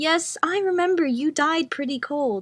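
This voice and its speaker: A squeaky, put-on character voice comes through at a moderate pace. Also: woman. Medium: read story. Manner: pleasant, ironic, smiling.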